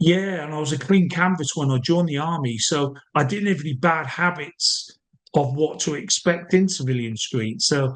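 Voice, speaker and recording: This man has a fairly high pitch, ordinary pitch variation and an English accent. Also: moderate pace. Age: 50s. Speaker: army veteran and sniper. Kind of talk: interview. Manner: casual, hesitant with fillers.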